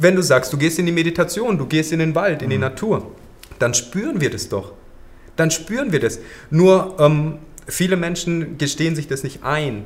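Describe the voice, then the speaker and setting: A man with an unremarkable speaking voice talks at a moderate pace, with a fairly high pitch and lively intonation. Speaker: yoga teacher. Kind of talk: podcast interview.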